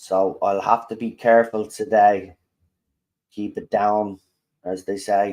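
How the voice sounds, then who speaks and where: A man's fairly low, monotone, flat voice at a very slow pace, with long, frequent pauses. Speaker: football fan streamer. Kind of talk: live match watchalong commentary. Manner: holding volume down today.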